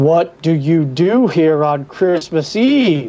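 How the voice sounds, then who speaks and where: The speaker uses a put-on character voice at a middle pitch. Delivery is very slow. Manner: stern.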